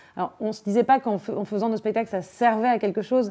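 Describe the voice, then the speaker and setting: A woman with a fairly high voice and dark, mellow tone at a fairly quick pace. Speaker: actress and theatre director. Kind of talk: interview. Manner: fast.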